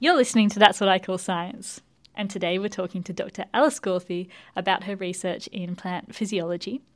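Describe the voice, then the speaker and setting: An unremarkable speaking voice from a woman, medium in pitch with ordinary pitch variation, big swings in loudness and a fairly quick pace, on a very clean recording with a silent background. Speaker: radio show host and plant scientist. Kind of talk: interview.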